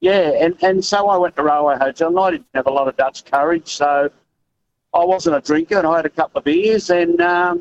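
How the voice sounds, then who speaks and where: A man's fairly quick speech, high-pitched for a man, with an Australian accent. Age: 60s. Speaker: truck driver, caller. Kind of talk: talkback call.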